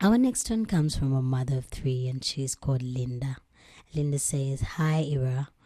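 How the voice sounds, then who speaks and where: A woman with a very deep, low pitch and a dark, mellow tone speaks at a fairly slow pace, her voice somewhat breathy. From Uganda. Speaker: storytelling show host. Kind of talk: reading listener stories aloud with commentary.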